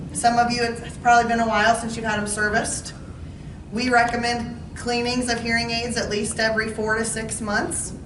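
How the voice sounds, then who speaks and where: Amid noticeable background noise and audible room echo, a woman speaks fairly quickly at a fairly high pitch in a monotone, flat way. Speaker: audiologist. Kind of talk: informational talk to seniors. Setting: talk to residents in a senior living community, with mic. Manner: loud.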